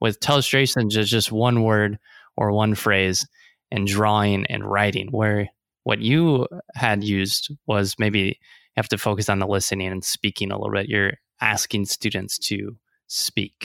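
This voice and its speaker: On a very clean recording with a silent background and a dry, close sound with no echo, a man with a Midwestern US accent speaks at a moderate pace with fairly even intonation. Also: fairly low pitch for a man. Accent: US Midwest. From Nebraska. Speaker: podcast host, teacher. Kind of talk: casual interview.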